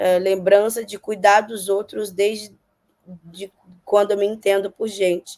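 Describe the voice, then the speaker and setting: Medium in pitch, a woman speaks at a fairly slow pace in a monotone, flat intonation. Her loudness swings a lot. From Brazil, Minas Gerais. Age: 30s. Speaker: political candidate and social worker. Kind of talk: interview. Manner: hesitant, many fillers.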